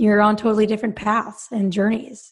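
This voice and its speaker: A woman with an American accent speaks at a medium pitch and a moderate pace. The background is quiet. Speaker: confidence and mindset coach for female athletes. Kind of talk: casual interview. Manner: soft-spoken, does not yell.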